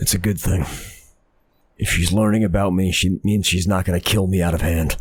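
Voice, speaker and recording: Put on as a character voice, this raspy delivery moves at a fairly quick pace in a monotone, flat intonation, broken by long, frequent pauses. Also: man, very deep, low pitch for a man. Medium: actual play. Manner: laconic, wry.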